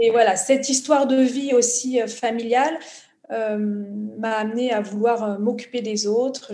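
A woman's fairly high, fairly even voice with audible room echo and noticeable background noise. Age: 40s. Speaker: social entrepreneur. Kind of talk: interview.

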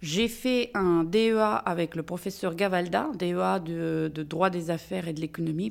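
A woman with a Russian accent, fairly low pitch and ordinary pitch variation at a very slow pace, in a very clean recording with a silent background. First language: Russian (speaking French). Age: 50s. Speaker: lawyer, managing partner of a law firm. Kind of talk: interview.

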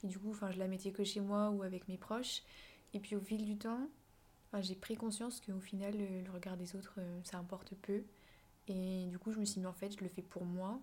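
Somewhat breathy and flat in a monotone, the speech comes with long, frequent pauses. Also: woman, medium pitch for a woman, moderate pace. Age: 20s. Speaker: content creator, student. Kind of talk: casual interview chat.

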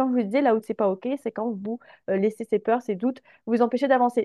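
A woman speaks at a high pitch and a fairly quick pace. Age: 20s. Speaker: confidence coach. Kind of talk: casual interview chat.

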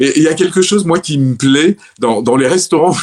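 The man's pitch variation is ordinary. His pace is moderate. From Provence, southern France (Orange, Vaucluse). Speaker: retired French expat, city guide. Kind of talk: casual interview. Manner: hesitant, many fillers and repeated words.

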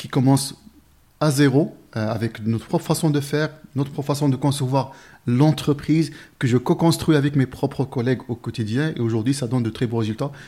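Speaking at a fairly quick pace, a man has a dark, mellow tone. His voice is somewhat breathy, with fairly even intonation. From Morocco, village near Marrakech. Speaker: recruitment firm founder. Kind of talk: interview conversation. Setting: company office.

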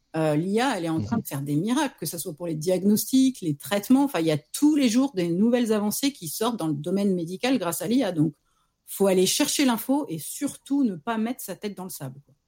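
On a very clean recording with a silent background, a woman with a medium pitch and a dark, mellow, somewhat breathy tone talks at a fairly quick pace with very wide pitch swings. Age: 40s. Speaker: freelance marketing director. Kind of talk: casual interview.

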